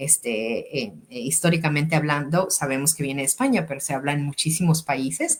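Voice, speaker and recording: A woman speaks in a very deep, low pitch with ordinary pitch variation. Her voice is somewhat breathy. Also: fairly quick pace. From Mexico, Sonora. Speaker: educator and language school director hosting podcast. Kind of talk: interview. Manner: hesitant, many fillers and repetitions.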